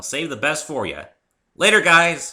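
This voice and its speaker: A man's put-on character voice, raised and projected, fairly high in pitch, at a moderate pace, on a very clean recording with a silent background. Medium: read story. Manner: cocky, energetic.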